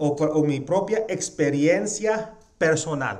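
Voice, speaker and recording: A man speaks at a very slow pace, with audible room echo and noticeable background noise. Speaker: pastor. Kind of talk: sermon. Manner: halting with fillers.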